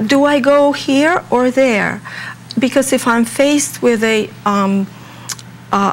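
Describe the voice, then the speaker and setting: Very slow speech with long, frequent pauses, very even loudness and ordinary pitch variation, over noticeable background noise. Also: woman, high pitch for a woman. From Russia. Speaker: home health care organization representative. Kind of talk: interview. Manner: halting, many fillers.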